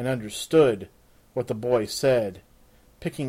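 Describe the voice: Plain reading aloud with ordinary pitch variation fills the clip.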